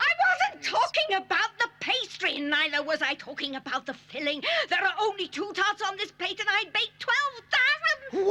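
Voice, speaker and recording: A cartoonish character voice pitched extremely high. It moves at a moderate pace. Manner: indignant.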